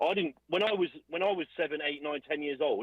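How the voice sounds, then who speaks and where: A man with vocal fry and an animated tone talks very fast at a fairly high pitch. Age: 20s. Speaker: caller. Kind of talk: heated debate. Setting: video call.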